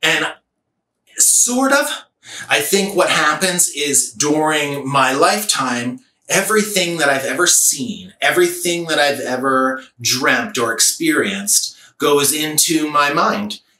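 A man's fairly high voice with lively intonation, a fairly slow pace and audible room echo. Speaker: artist and gallery owner. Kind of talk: personal storytelling monologue. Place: home room.

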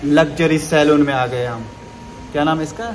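A man at a fairly slow pace, with fairly even intonation and light background noise. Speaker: vlogger. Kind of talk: casual vlog chat. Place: shop. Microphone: phone near.

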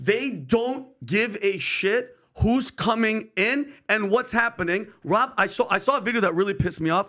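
Projecting in a raised voice with a bright, sharp tone and an American accent, the speaker keeps loudness very even at a moderate pace, with ordinary pitch variation over a quiet background. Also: man. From New York. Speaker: podcast co-host. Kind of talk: casual chat. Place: studio. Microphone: studio mic.

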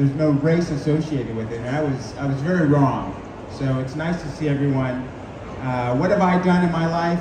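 Audible room echo and noticeable background noise surround a man who speaks at a fairly quick pace with ordinary pitch variation. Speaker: guest. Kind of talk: interview answer. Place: hall. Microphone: camera far.

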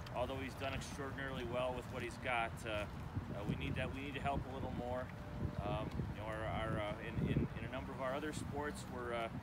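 A man keeps up a fairly quick pace while loud background noise runs underneath. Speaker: university athletic director. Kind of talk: ceremony speech. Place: open country.

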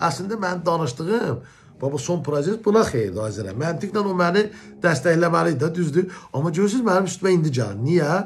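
Over light background noise, a man speaks in a high voice. His pace is moderate and his intonation lively. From Azerbaijan. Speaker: journalist. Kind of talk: video commentary rebuttal. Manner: confrontational. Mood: aggrieved, confrontational. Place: home room. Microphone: phone near.

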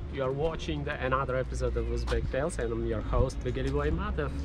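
Noticeable background noise comes through, while the sound itself is dry with no echo. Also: man. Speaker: travel show host. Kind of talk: travel vlog commentary. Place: forest.

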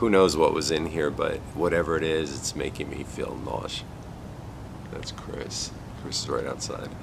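A man at a moderate pace, with noticeable background noise. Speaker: paranormal video creator. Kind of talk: casual vlog chat. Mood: uneasy, reflective.

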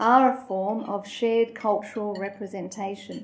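A woman, somewhat breathy, keeps a moderate speed and ordinary pitch variation. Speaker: guest. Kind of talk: prepared talk. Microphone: handheld.

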